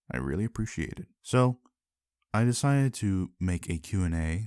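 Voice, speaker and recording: A man is heard in a very clean recording with a silent background. The sound is dry and close with no echo. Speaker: YouTuber. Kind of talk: Q&A video. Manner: casual.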